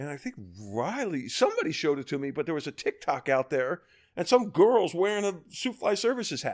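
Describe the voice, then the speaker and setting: Using an American accent, a man speaks at a moderate pace with very wide pitch swings. The recording is very clean, with a silent background. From US, Baltimore, Maryland. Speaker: fly fishing guide. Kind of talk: casual chat.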